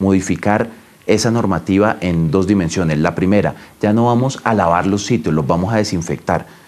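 Fairly low male voice at a fairly quick pace, with ordinary pitch variation. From Colombia, La Guajira (Riohacha). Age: 30s. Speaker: government minister. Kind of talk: news interview. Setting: remote call from home. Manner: formal. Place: office. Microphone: lapel.

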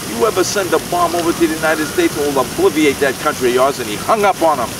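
Over noticeable background noise, a man speaks at a very fast pace with lively intonation in a dry sound with no echo. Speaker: storyteller. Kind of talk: casual storytelling to camera. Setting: outdoors. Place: street. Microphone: phone near.

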